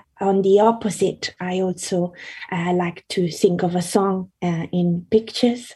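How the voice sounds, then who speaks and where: A woman speaks slowly with a dark, mellow tone and a medium pitch. Her voice is somewhat breathy, and her intonation stays monotone and flat. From Italy. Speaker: singer-songwriter and illustrator. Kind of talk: casual interview. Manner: halting, many fillers.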